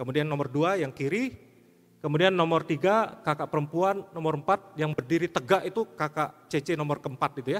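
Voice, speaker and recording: A man with a fairly high pitch talks at a fairly quick pace. He has an ordinary speaking voice with ordinary pitch variation. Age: 50s. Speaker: pastor. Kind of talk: sermon.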